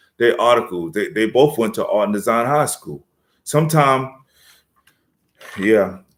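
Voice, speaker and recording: A man with a New York accent talks at a moderate pace on a very clean recording with a silent background. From New York City, South Bronx. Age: 50s. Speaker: rapper. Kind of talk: casual live-stream chat.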